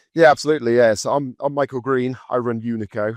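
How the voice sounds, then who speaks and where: A man with a Birmingham accent at medium pitch, very fast and with fairly even intonation, in a dry, close sound with no echo. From England, Birmingham. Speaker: recruitment business founder. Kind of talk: podcast interview.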